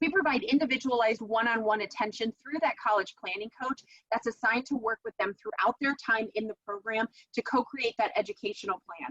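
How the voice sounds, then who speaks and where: Recorded dry and close with no echo, a woman with a fairly high pitch talks at a fairly quick pace. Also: ordinary pitch variation. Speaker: dean of education presenting a coaching program. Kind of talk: webinar presentation. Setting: online webinar with screen share. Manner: fast.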